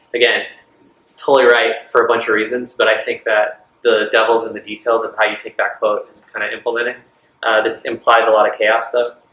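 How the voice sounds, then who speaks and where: A man at a fairly quick pace with big swings in loudness. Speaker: startup founder and product speaker. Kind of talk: talk with audience Q&A. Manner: fast; casual with many fillers.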